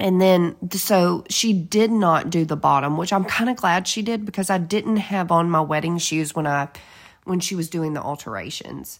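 A woman's fairly low voice with a Southern US accent, ordinary pitch variation and a moderate pace, in a very clean recording with a silent background. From Georgia. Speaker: podcast co-host. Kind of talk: casual chat.

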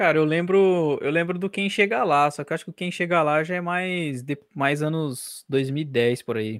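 The speaker has a plain, everyday voice, moving at a fairly slow pace with hardly any pauses and ordinary pitch variation. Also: man, fairly high pitch for a man, very clean recording, silent background. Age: 20s. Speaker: podcast host, journalism student. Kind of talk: casual chat.

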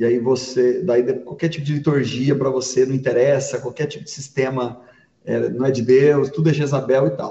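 Vocal fry shows up in this man's speech. His pitch sits in the medium range. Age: 40s. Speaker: pastor. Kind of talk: casual chat.

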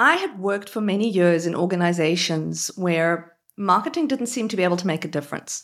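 On a very clean recording with a silent background, a woman speaks with an Australian accent. Her medium pitch has ordinary variation, and she moves at a fairly quick pace with hardly any pauses. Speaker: marketer, author and TEDx speaker. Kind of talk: live interview chat. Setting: live stream with audience.

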